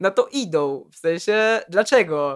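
Against a quiet background, a man is speaking. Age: 20s. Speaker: rapper. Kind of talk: casual chat.

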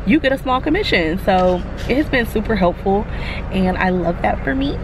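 The sound is dry, with no echo, and noticeable background noise. A woman is speaking. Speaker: vlogger. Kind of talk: casual vlog chat. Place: car. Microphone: phone near.

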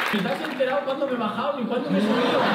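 A man's voice comes through with audible room echo. Loud background noise runs behind him. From Spain. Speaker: stand-up comedian. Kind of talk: stand-up crowd work. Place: stage.

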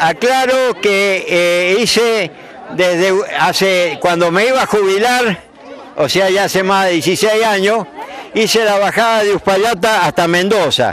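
At a very slow pace, a man talks at a high pitch in a dry recording with no echo and light background noise. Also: ordinary pitch variation, very even loudness. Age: 80s+. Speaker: veteran roller skater. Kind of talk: interview. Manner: halting. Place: open country. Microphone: handheld.

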